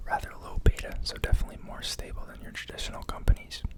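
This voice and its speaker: A man whispers at a fairly quick pace. Noticeable background noise can be heard. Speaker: ASMR stock market video creator. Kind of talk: casual talk to camera, finance analysis. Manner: whispered, soft-spoken.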